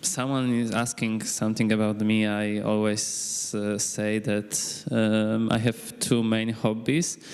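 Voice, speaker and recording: Amid noticeable background noise and audible room echo, a man with a Polish accent speaks at medium pitch in a fairly even intonation, with hardly any pauses. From Poland, Krakow. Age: 20s. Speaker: high school teacher. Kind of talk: self-introduction at a conference panel. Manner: halting, many fillers.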